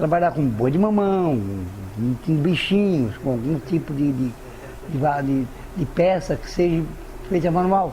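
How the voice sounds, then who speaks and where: Speech comes at a fairly slow pace with long, frequent pauses and lively intonation. Noticeable background noise runs underneath. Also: man, fairly high pitch for a man. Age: 60s. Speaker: potter. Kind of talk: interview. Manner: halting.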